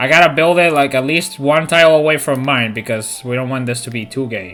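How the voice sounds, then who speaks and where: Amid noticeable background noise, a man with a Spanish accent speaks at a fairly quick pace, pitched fairly high with ordinary pitch variation. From Spain, near Toledo. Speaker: video game streamer. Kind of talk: live gameplay commentary. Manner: casual, animated.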